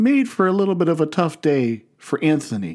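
A man with an American accent speaks at a moderate pace with very wide pitch swings in a very clean recording with a silent background. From US Midwest, Canton, Ohio. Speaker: pastor. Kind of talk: sermon.

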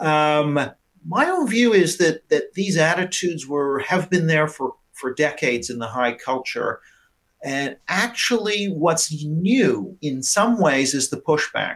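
A man speaks in a plain, everyday voice at a fairly slow pace. His pitch is fairly high, with lively intonation. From Canada. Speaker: professor of politics. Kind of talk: panel discussion.

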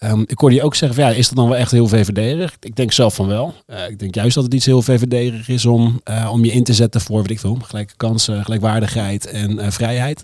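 An ordinary speaking voice from a man, medium-pitched, fairly quick and fairly even, with hardly any pauses. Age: 30s. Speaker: comedian. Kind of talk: casual chat. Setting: studio.

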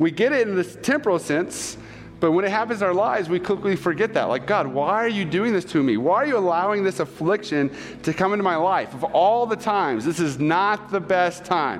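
Over noticeable background noise, a man with a high pitch talks at a fairly quick pace, with lively intonation and very even loudness. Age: 30s. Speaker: pastor. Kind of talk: sermon.

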